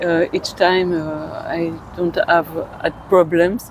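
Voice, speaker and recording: Amid noticeable background noise, a woman speaks very slowly in a monotone, flat intonation. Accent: French. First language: French. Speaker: tourist. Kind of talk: street interview. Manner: halting.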